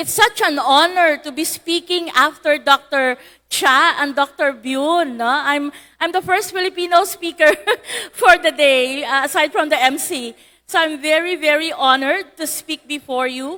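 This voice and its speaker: Her voice raised and projected, a woman speaks at a high pitch with a bright, sharp tone and ordinary pitch variation. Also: moderate pace. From Philippines, Iloilo (Western Visayas). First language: Hiligaynon (Ilonggo). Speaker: lawyer and digital policy speaker. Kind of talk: conference talk.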